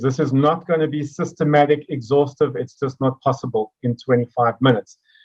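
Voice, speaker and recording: A man speaks fairly quickly in a somewhat breathy voice pitched fairly high. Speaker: mathematics education speaker. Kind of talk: educational presentation. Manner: fast.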